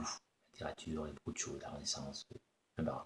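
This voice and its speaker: A man with a Spanish accent sounds somewhat breathy. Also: dry, close sound with no echo. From Spain. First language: Spanish (speaking French). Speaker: actor. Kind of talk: self-introduction video answering questions. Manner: hesitant, many fillers.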